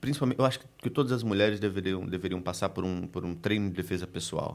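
Over a very clean recording with a silent background, a man with an ordinary speaking voice and a fairly low pitch talks at a fairly quick pace with ordinary pitch variation. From Recife, northeast Brazil. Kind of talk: casual chat.

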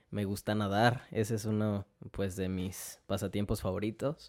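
With a dark, mellow tone and monotone, flat intonation, a man speaks at a fairly low pitch in a dry, close sound with no echo, on a very clean recording with a silent background. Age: 20s. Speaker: fashion designer. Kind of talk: casual chat.

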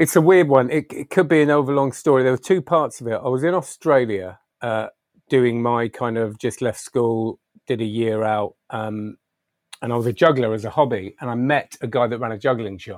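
A man with a plain, everyday voice, medium pitch and ordinary pitch variation talks at a moderate pace in a dry, close sound with no echo. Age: 40s. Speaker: magician and public speaker. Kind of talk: interview.

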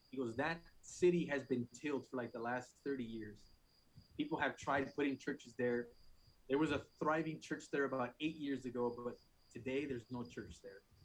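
A normal speaking voice from a man with an American accent, medium in pitch, with ordinary pitch variation at a moderate pace. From Phoenix, Arizona. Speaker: church planter and technician. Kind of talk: testimony.

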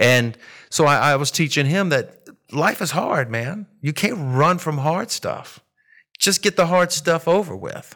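A man's fairly high, bright and sharp voice, lively in intonation, at a fairly slow pace. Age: 50s. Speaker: woodworker and insurance seller. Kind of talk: casual interview chat.

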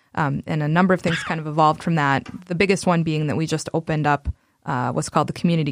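Her voice very deep and low in pitch, a woman speaks with fairly even intonation. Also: very clean recording, silent background. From South Dakota. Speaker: community organizer. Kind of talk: casual interview chat.

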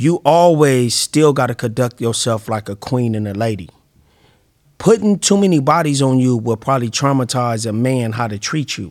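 A man at a moderate pace, medium pitch and lively intonation. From Compton, Los Angeles area, California. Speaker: rapper and TV personality. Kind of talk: casual interview.

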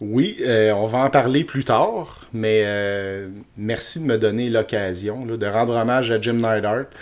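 At a very slow pace, a man with a Quebec accent talks at a medium pitch with fairly even intonation. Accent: Québécois French. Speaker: podcast co-host. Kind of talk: casual chat.

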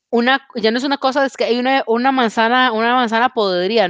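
A woman with a Costa Rican accent talks at a fairly quick pace with ordinary pitch variation, in a dry, close sound with no echo and a quiet background. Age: 20s. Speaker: podcast host. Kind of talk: casual chat. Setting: video call.

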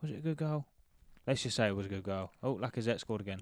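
Speaking very fast in an animated tone, a man keeps his pitch fairly low. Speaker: football podcast host. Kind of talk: casual banter. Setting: watching match at home, recording. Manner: animated, joking.

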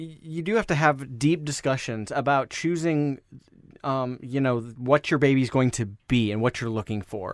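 A man with an American accent has an ordinary speaking voice, fairly high in pitch, with ordinary pitch variation. He keeps a moderate pace, and the recording is very clean with a silent background. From Iowa (Des Moines). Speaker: podcast co-host, adoptive parent. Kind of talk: casual chat. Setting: home closet studio.

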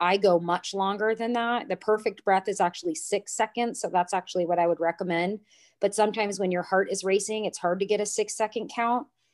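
In a very clean recording with a silent background and a dry, close sound with no echo, a woman with a plain, everyday voice speaks at a fairly quick pace, using a medium pitch and ordinary pitch variation. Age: 30s. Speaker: yoga studio owner and trauma educator. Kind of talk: interview.

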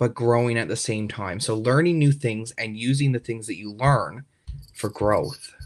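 On a very clean recording with a silent background, a man with a Newfoundland accent speaks at a medium pitch with ordinary pitch variation. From rural Newfoundland, Canada. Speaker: university student. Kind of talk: interview. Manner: hesitant, with fillers and repetitions.

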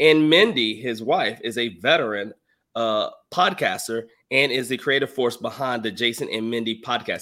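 An ordinary speaking voice at a fairly slow pace with lively intonation. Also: man. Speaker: podcast host and financial coach. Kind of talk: casual chat.

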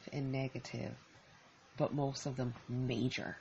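Somewhat breathy, the speaker has an American accent and fairly even intonation. The pace is fairly slow. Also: woman. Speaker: podcaster. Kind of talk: solo podcast monologue, casual and reflective. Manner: conversational, reflective, off the cuff.

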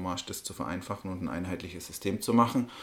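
Very deep, low male speech with fairly even intonation. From Germany, Bavaria. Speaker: politician, party co-chair. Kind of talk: interview. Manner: halting.

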